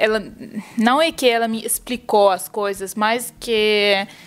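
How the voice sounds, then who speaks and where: A woman in a Russian accent, fairly high pitch with ordinary variation, at a very slow pace. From Ukraine, Russian. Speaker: polyglot. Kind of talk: interview. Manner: halting. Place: home room.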